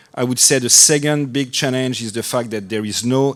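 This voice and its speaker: A man talks with a French accent. His pace is fairly quick and his pitch varies in an ordinary way. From France. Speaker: anesthesiologist, department chair. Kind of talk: panel discussion.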